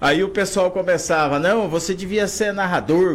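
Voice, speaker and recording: A man's high-pitched voice at a moderate pace. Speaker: sports commentator. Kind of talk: interview.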